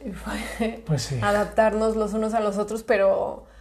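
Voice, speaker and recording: Audible room echo surrounds a woman whose voice carries vocal fry and fairly even intonation. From Mexico, Guadalajara. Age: 20s. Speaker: podcast host. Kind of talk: casual chat.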